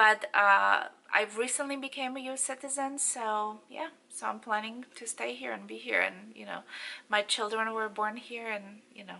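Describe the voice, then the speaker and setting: A woman with a Polish accent speaks fairly slowly in a bright, sharp tone. Her pitch is fairly high, with ordinary variation. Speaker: beauty and fashion vlogger. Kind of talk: casual Q&A vlog. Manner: halting, many fillers.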